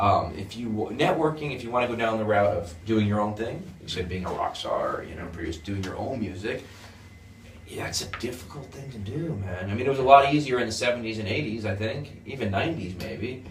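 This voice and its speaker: With a New York accent and lively intonation, a man talks at medium pitch and a fairly quick pace amid audible room echo and noticeable background noise. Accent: New York area American. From US Northeast, near New York City. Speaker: guitar school founder. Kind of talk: interview. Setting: guitar school.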